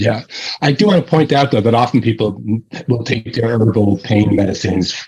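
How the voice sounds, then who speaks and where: A man's somewhat breathy, medium-pitched voice with an American accent, at a moderate pace with ordinary pitch variation and very even loudness. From New York, Long Island. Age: 60s. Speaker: herbalist and teacher. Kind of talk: interview.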